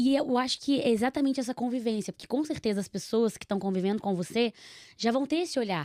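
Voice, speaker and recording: Speaking very fast in a high voice with a dark, mellow tone, a woman with a Minas Gerais accent uses lively intonation, recorded very cleanly with a dry, close sound, no echo and a silent background. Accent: mineiro. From Minas Gerais, Brazil (Nova Lima). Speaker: podcast host. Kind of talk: casual chat.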